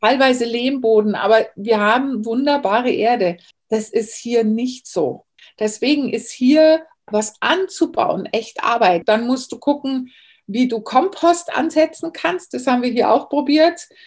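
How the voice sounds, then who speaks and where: A high-pitched woman's voice, fairly slow, with lively intonation. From Bavaria, Germany. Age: 40s. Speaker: herbalist. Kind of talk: interview.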